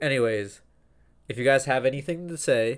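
Here a man speaks at a moderate pace. His pitch is fairly high, with ordinary pitch variation. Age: 20s. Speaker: podcast co-host. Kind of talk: casual chat.

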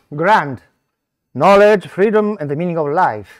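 A man speaks with an Italian accent and ordinary pitch variation. The sound is dry and close, with no echo. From Italy. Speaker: scholar presenting a conference paper. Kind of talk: conference talk. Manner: halting.

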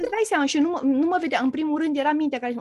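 The recording has a dry, close sound with no echo. A woman speaks in a high pitch. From Romania. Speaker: therapist. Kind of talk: casual chat.

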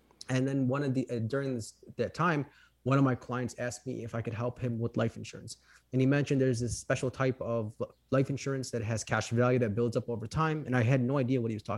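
Very fast talking comes from a man at a medium pitch. His intonation is monotone and flat. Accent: Chicago. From Chicago, Illinois. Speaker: financial professional. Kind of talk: interview conversation.

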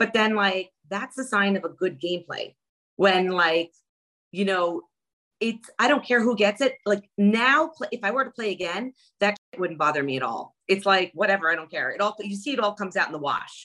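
Delivered at a moderate pace in a New York accent, this animated voice has lively intonation and a bright, sharp tone. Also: woman, medium pitch for a woman. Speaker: reality TV contestant. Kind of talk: casual interview.

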